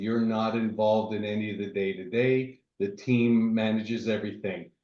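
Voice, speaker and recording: A man speaks at a medium pitch and a moderate pace. His intonation is fairly even, and the room echo is audible. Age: 50s. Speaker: real estate investor. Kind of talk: presentation.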